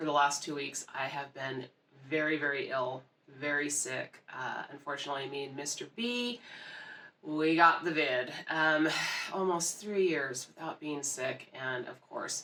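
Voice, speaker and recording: Amid noticeable background noise, a woman with a very deep, low pitch speaks fairly slowly, her pitch varying in an ordinary way. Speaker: book reviewer. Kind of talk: casual chat. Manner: casual, conversational with fillers.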